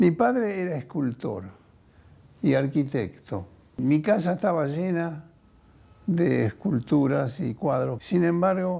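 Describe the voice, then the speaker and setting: A man with a dark, mellow tone and fairly high pitch, very slow, with very wide pitch swings and long, frequent pauses. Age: 80s+. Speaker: biochemist. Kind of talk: testimony. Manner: halting.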